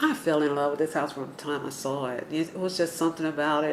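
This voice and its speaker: A woman with an Atlanta accent speaks at a very deep, low pitch. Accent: Southern American (Atlanta). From US South, Atlanta, Georgia. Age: 60s. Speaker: neighborhood resident interviewee. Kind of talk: oral history interview. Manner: hesitant, many fillers.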